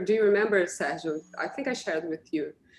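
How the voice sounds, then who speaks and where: This is a woman speaking with a Portuguese accent. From Brazil. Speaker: radiologist, session moderator. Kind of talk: webinar Q&A moderation.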